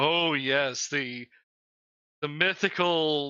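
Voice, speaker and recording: A raspy, put-on character voice at a low-to-middle pitch. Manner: sarcastic, mocking.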